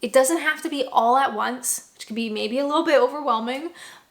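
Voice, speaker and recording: The speaker has a Canadian accent and ordinary pitch variation. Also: woman. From Canada. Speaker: vlogger. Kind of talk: vlog advice talk.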